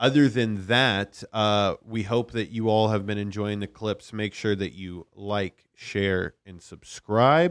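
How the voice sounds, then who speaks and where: An ordinary speaking voice from a man, fairly low in pitch and fairly slow in pace, with a dry, close sound and no echo. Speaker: podcast producer. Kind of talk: casual chat. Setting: studio.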